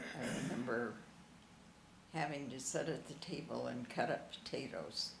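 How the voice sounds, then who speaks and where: The woman talks at a moderate pace, with noticeable background noise present. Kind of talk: interview answer.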